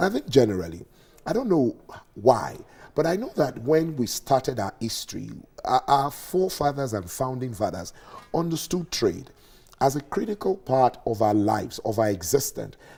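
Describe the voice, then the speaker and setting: Vocal fry and very wide pitch swings at a moderate pace. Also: man, medium pitch for a man. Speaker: tourism commentator. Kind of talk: TV interview. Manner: halting.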